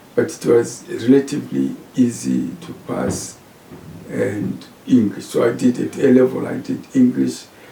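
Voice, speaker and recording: Big swings in loudness mark a man with a Zimbabwean accent speaking at a fairly slow pace over noticeable background noise. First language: Shona. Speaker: professor. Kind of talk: interview.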